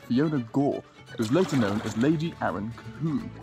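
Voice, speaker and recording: Clear music plays in the background while a man speaks. The sound is dry, with no echo. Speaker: wildlife photographer vlogger. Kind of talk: casual vlog narration to camera. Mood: lighthearted storytelling. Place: boat. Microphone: phone near.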